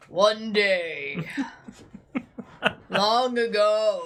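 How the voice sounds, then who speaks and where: The speaker uses a put-on character voice with a fairly high pitch. The tone is dramatic. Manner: dramatic, portentous.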